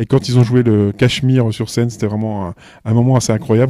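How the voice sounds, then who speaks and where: In a very clean recording with a silent background and a dry, close sound with no echo, a man with a medium-pitched, dark, mellow voice talks at a fairly quick pace with fairly even intonation. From eastern France, Belfort area. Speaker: music festival programmer. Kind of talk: interview. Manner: hesitant, many fillers and repetitions.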